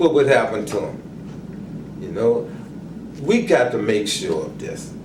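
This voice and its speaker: Speaking slowly-ish with an American accent, a man's loudness swings widely amid audible room echo and noticeable background noise. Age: 70s. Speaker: community organizer. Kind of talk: interview. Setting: care facility. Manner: halting, repeats words; impassioned.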